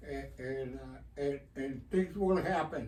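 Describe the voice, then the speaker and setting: With an American accent, a somewhat breathy voice of dark, mellow tone speaks at a fairly slow pace with ordinary pitch variation and audible room echo. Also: man. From Texas (Eagle Pass, border town). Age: 80s+. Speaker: community activist. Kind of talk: radio interview. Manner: halting, many fillers and repetitions.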